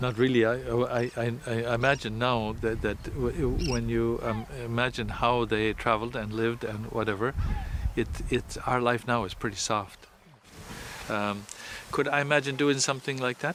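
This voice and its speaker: Noticeable background noise surrounds a man speaking. His pace is moderate and his intonation fairly even. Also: medium pitch for a man. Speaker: Jesuit priest. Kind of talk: interview. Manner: halting, repeats words.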